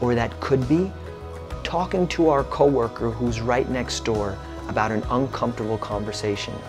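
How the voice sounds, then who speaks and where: Clear music plays in the background as a man talks at a moderate pace with lively intonation. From Brooklyn, New York City; New York City. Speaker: motivational speaker. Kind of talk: keynote speech; motivational talk to camera.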